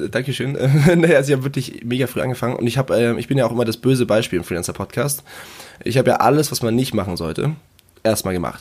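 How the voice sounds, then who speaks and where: His pitch varies in an ordinary way. This man talks at a very fast pace. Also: medium pitch for a man. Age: 20s. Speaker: freelancer, project manager, podcaster. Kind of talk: casual interview chat.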